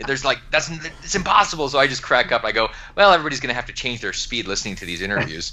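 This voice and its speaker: Very fast speech from a man, fairly high in pitch, with very wide pitch swings, set against noticeable background noise. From Alaska. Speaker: entrepreneur and author. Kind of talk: podcast interview. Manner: animated.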